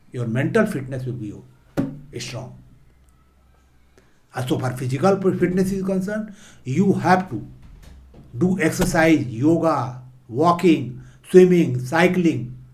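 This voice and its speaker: Lively intonation and big swings in loudness mark this fairly slow delivery, broken by long, frequent pauses, with audible room echo. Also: man, fairly high pitch for a man. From India, rural eastern Uttar Pradesh. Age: 70s. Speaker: motivational speaker and former civil servant. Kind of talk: motivational talk.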